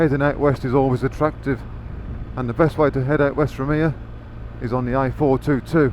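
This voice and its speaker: A man with a Birmingham accent talks at a fairly quick pace in a medium pitch, with monotone, flat intonation. He takes long, frequent pauses, and noticeable background noise is present. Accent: Birmingham area. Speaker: motorcycle vlogger. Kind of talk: motorcycle ride commentary. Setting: on a motorcycle on the road.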